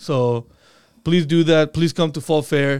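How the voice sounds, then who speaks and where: The pitch varies in an ordinary way on a very clean recording with a silent background. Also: man. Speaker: school podcast co-host. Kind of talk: casual school podcast interview.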